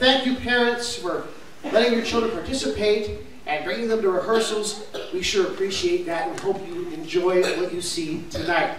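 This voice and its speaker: There is audible room echo and light background noise. A man speaks at a high pitch and a moderate pace. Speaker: children's pastor. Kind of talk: welcome announcement to audience. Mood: warm, upbeat. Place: church.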